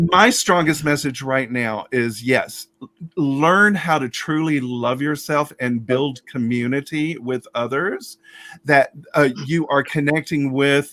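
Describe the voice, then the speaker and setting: A man talks at a very slow pace with a fairly high pitch and ordinary pitch variation. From US South (Alabama). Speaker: drag storyteller. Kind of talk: casual chat. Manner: halting.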